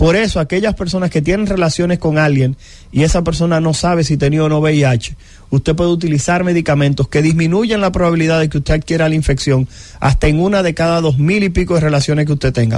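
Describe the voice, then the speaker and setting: Ordinary pitch variation runs through this fairly quick delivery. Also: man. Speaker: infectious disease doctor. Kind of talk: radio health interview.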